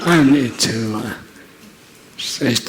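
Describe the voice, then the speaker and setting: Amid audible room echo and noticeable background noise, a man speaks at a very slow pace with fairly even intonation. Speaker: magician. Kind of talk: stage comedy magic performance. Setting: stage with audience. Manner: halting.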